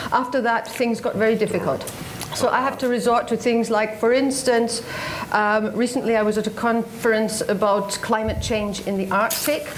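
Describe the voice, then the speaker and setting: A woman with fairly high pitch, fairly even intonation and very even loudness at a moderate pace, amid noticeable background noise and audible room echo. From Scotland. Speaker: radio journalist. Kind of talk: panel talk.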